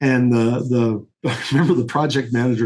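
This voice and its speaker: In an ordinary speaking voice, a man talks at medium pitch and a fairly quick pace. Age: 60s. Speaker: refrigeration system designer. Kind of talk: podcast interview.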